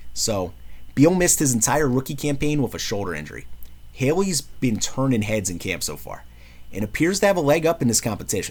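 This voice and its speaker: This man has a New York accent and some vocal fry. He speaks at a fairly quick pace, animated in tone and lively in intonation. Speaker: sports commentary vlogger. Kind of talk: casual sports preview monologue.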